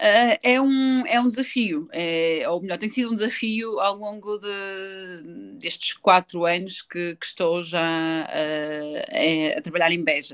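A woman with a European Portuguese accent speaks at a medium pitch with lively intonation. Her pace is very slow, with hardly any pauses. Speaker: handball player. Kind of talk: interview. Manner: hesitant, many fillers.

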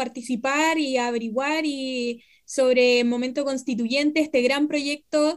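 On a very clean recording with a silent background, a woman speaks at a high pitch and a fairly slow pace with fairly even intonation. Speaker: radio host, historian. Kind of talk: radio interview.

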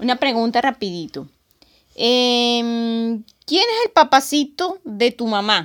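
Lively intonation carries speech that proceeds very slowly. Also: woman, high pitch for a woman. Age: 40s. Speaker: podcast host. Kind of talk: casual chat.

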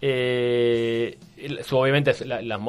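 Music plays in the background. A man speaks at medium pitch. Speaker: historian and columnist. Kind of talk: radio column, casual historical explanation. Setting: radio studio. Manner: hesitant, many fillers.

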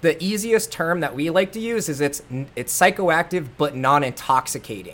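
In a plain, everyday voice, a man with fairly high pitch speaks at a moderate pace with lively intonation. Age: 30s. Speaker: CEO of a cannabinoid isolate company. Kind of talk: casual interview.

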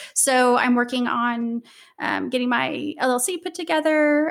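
Using fairly even intonation, a woman speaks in a high pitch with an American accent. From US Midwest, southwest Missouri. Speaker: university student affairs professional. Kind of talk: casual interview.

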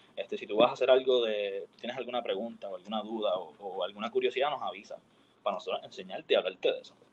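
Very fast speech from a man, marked by big swings in loudness. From Puerto Rico, San Juan. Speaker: university student. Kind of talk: casual chat.

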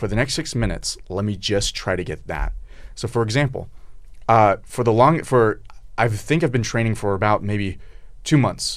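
A man talks in a plain, everyday voice at medium pitch and a moderate pace, with ordinary pitch variation. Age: 20s. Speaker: co-host asking questions. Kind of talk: casual chat. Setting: studio.

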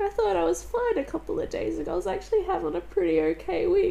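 Over noticeable background noise, a woman speaks at a moderate pace in an extremely high voice. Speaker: podcast host. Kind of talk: personal monologue. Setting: at home on couch.

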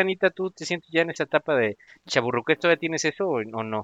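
Someone talks very fast with a Mexican accent. The tone is animated and the intonation lively. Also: man. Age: 40s. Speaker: podcast host. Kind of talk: casual chat.

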